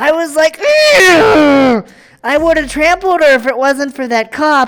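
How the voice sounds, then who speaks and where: A female-sounding put-on character voice, high-pitched and whiny, at a fairly slow pace. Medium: role play. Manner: whiny, huffy.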